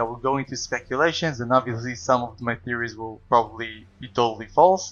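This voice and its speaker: A man with a non-native accent talks at a very fast pace, his pitch medium. His intonation stays fairly even over music in the background. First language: not English. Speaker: video game lore youtuber. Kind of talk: video essay narration.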